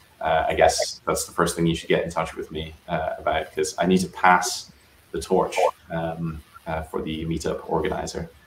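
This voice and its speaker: The speaker has a Scottish accent, with noticeable background noise. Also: man, moderate pace. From Scotland (Aberdeenshire, north-east). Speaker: software engineer. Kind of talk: casual interview chat.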